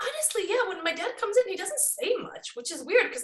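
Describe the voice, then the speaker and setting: In a Bosnian accent, a raised, projected voice moves at a fairly quick pace with very wide pitch swings. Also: woman. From Sweden, born in Bosnia. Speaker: psychic. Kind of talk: casual chat.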